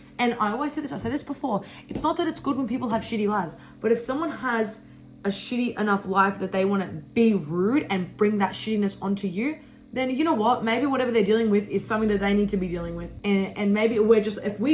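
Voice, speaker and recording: Speaking very fast, a woman uses a fairly high pitch with ordinary variation. She has an Australian accent. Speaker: lifestyle vlogger. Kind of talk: casual chat. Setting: bedroom. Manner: loud; animated.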